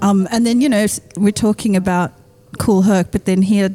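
A woman speaks at a moderate pace with an Australian accent, her pitch medium and her intonation fairly even. Noticeable background noise runs behind her. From Western Sydney, Australia. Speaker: rapper. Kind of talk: casual chat.

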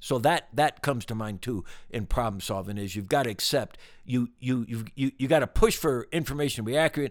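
At a fairly quick pace and with ordinary pitch variation, a man speaks in a normal speaking voice on a very clean recording with a silent background. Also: medium pitch for a man. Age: 60s. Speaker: business executive. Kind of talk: casual interview conversation. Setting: ranch in Wyoming, recorded in person.

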